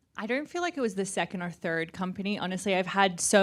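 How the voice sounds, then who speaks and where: Heard on a very clean recording with a silent background, a woman talks with an Australian accent. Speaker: startup founder. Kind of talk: panel discussion.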